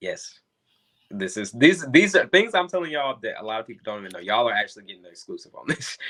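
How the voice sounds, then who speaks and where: Talking at a very fast pace with a Southern US accent, a man with a fairly high pitch and vocal fry makes very wide pitch swings and big swings in loudness. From US South, North Carolina. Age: 30s. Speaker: entrepreneur and model. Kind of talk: interview.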